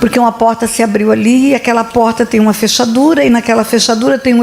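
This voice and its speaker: Animated in tone, a woman speaks at a fairly high pitch and a fairly quick pace. There is noticeable background noise. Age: 70s. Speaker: pastor. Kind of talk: sermon.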